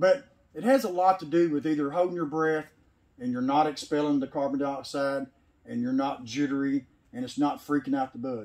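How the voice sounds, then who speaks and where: At a moderate pace, a man with a Tennessee accent speaks at a fairly high pitch with ordinary pitch variation. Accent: Southern US, Tennessee. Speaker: sawmill owner. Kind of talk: casual chat. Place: farm machine. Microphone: camera far.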